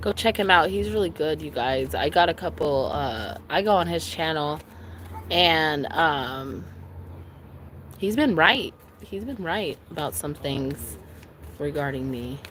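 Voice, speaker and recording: A woman with a very deep, low pitch speaks loudly with vocal fry, very wide pitch swings, a fairly slow pace and long, frequent pauses. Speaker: tarot reader. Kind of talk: live stream tarot reading. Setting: outdoors by a lake.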